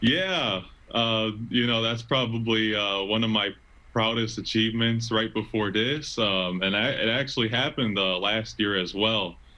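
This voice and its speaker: A man talks in an ordinary speaking voice, pitched at medium with ordinary pitch variation. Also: moderate pace. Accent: American. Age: 20s. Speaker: stadium PA announcer and college student. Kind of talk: casual interview answer.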